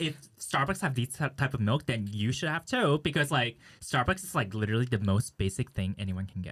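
At a fairly quick pace, a man with an ordinary speaking voice and medium pitch talks with lively intonation. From California, US (moved from Taipei at 10). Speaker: podcast co-host. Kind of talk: casual chat.

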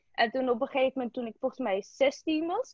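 A high-pitched woman's voice with lively intonation. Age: 20s. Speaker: interviewee. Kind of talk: interview.

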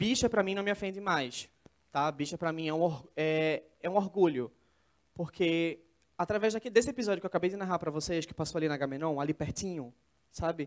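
Talking at a fairly quick pace, a man has a high-pitched voice. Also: ordinary pitch variation. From São Paulo state interior, Brazil. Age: 20s. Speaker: speaker, student and documentary maker. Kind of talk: TEDx talk. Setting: stage with audience.

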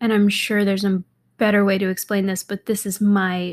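Her sound is dry and close, with no echo. The woman speaks at a medium pitch in a monotone, flat delivery. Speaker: podcast host, fashion entrepreneur. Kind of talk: casual solo monologue. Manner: giggly, frequent laughter; rambling, many fillers.

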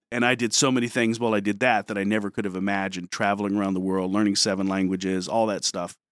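A man with an American accent and a fairly low pitch, very fast and monotone with flat intonation, hardly any pauses, on a very clean recording with a silent background. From Detroit, US Midwest. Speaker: high school history teacher, former Marine. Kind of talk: interview on a school morning show.

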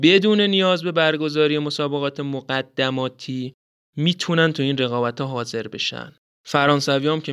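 A man with a fairly high pitch speaks at a moderate pace with ordinary pitch variation. He has an ordinary speaking voice, and the background is quiet. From Iran. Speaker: podcast host. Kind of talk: scripted narration.

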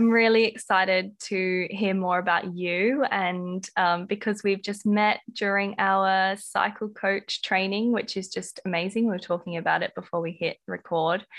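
A woman talks with an Australian accent at a medium pitch and a moderate pace. Her intonation is fairly even, with hardly any pauses. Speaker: podcast host. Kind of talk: casual interview chat. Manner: warm, gentle, easeful.

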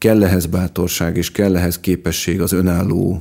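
Very deep and low, a man's voice moves at a fairly slow pace with ordinary pitch variation. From Budapest, Hungary. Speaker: farmer and gardener. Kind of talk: interview. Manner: hesitant, repeats words.

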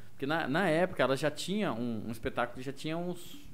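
A man's lively intonation rings with audible room echo. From Mato Grosso do Sul, near Corumbá (Ladário). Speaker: radio host and stand-up comedian. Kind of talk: casual chat.

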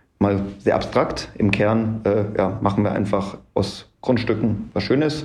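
Somewhat breathy and dark, mellow in tone, a man's fairly low voice carries audible room echo. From Munich, Bavaria. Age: 30s. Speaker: real estate developer. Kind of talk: interview. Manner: frequent filler sounds (ähm).

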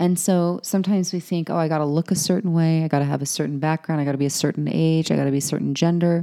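A woman with an American accent talks at a very fast pace with hardly any pauses, her very deep, low voice dark and mellow in tone, her loudness very even and her intonation fairly even. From Utah (Salt Lake City). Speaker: sales coach. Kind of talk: casual chat.

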